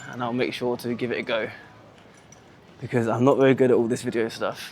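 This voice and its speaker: A man with a British accent and a medium pitch talks at a fairly quick pace in a monotone, flat intonation over noticeable background noise. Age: 20s. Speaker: vlogger and English teacher. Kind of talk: casual walking vlog. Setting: outdoors walking in the city. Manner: casual, natural.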